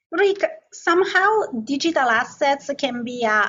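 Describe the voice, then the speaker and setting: This woman talks at a fairly slow pace. Her intonation is lively. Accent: non-native. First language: not English. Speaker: asset management executive. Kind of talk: interview.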